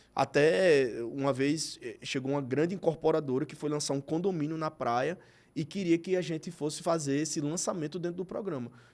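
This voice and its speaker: The recording is very clean with a silent background. The pace is moderate, with hardly any pauses and ordinary pitch variation. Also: man, fairly high pitch for a man. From Brazilian Northeast. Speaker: TV presenter and advertising executive. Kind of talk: podcast interview.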